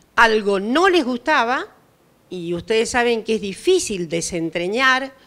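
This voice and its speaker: A woman's high voice swings very widely in pitch as she talks very slowly. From Argentina. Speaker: historian and professor; professor. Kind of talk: panel discussion talk. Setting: outdoors at a public event. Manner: formal. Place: garden. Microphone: handheld.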